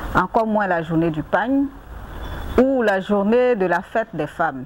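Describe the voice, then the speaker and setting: Against noticeable background noise, a woman speaks with lively intonation. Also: medium pitch for a woman, fairly slow pace. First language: Anyi (speaking French). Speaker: NGO president and agricultural entrepreneur. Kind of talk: interview.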